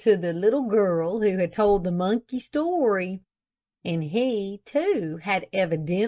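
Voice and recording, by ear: Lively intonation marks this reading aloud in a natural voice against a quiet background.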